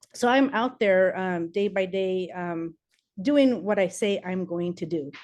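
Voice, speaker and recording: A woman with a Spanish accent at a fairly slow pace, with ordinary pitch variation. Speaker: political candidate. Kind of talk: campaign speech.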